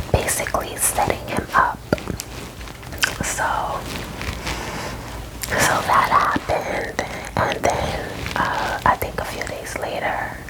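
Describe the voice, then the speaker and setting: A woman whispers with long, frequent pauses. Noticeable background noise runs underneath. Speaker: ASMR storyteller. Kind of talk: ASMR movie recap ramble. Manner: whispered.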